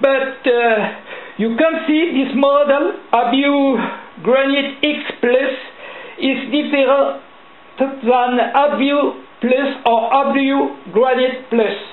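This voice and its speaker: A woman's high voice with fairly even intonation, a very slow pace and long, frequent pauses, amid noticeable background noise and audible room echo. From France. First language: French. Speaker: lock-picking hobbyist. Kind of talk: tutorial. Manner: halting.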